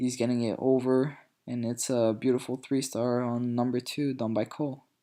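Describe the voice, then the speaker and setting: Heard in a very clean recording with a silent background, a man of medium pitch speaks with a French accent and a dark, mellow tone. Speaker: gaming video commentator. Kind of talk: gameplay commentary. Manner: hesitant, many fillers.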